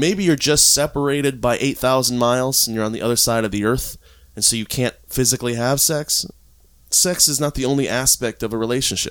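Talking at a fairly quick pace in an American accent, a man uses a normal speaking voice at medium pitch with ordinary pitch variation. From Florida, US. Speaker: polyamory consultant. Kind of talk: casual interview. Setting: at home in his apartment.

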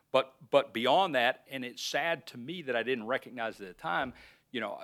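In a very clean recording with a silent background, a man talks with an Alabama accent. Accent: Southern US, Alabama. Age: 50s. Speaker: research park president, former county official. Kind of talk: casual interview.

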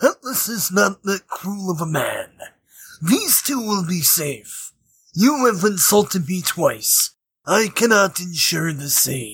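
A put-on character voice at a middle pitch. The pace is fairly slow. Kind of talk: comic overacting. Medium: actual play. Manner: pompous, grandiose, speaks of himself in third person.

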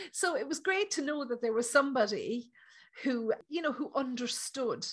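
This is a woman speaking with an Irish accent. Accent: Irish, lilting. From Ireland. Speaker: psychic medium. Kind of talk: casual interview chat.

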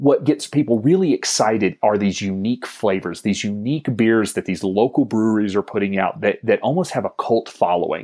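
A man in an American accent, medium pitch and a dark, mellow tone, talking at a fairly quick pace with hardly any pauses, dry, close sound with no echo and a quiet background. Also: lively intonation. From US South. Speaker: financial advisory business co-founder. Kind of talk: interview.

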